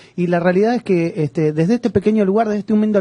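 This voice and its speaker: This man has a dark, mellow tone and speaks in an Argentine accent. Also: dry, close sound with no echo. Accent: Argentine Spanish (Rioplatense). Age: young. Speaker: radio host. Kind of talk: radio interview.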